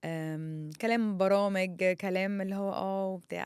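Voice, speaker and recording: The background is silent and the recording very clean as a woman speaks in a medium pitch. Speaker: content creator. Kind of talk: personal monologue. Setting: studio. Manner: loud; halting.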